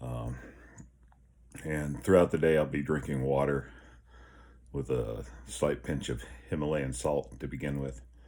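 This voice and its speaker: A man's very deep, low voice, dark and mellow in tone, at a fairly slow pace with fairly even intonation and long, frequent pauses. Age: 50s. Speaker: health vlogger. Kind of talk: casual vlog. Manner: halting.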